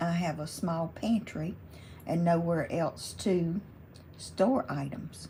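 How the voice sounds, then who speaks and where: A woman's fairly low, somewhat breathy voice with fairly even intonation. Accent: Southern US. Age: 70s. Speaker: crafting YouTuber. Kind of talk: casual chat. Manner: relaxed.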